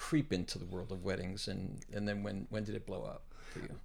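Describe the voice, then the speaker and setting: This man has an unremarkable speaking voice, fairly low in pitch. He speaks at a moderate pace. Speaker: podcast host. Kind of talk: casual interview chat.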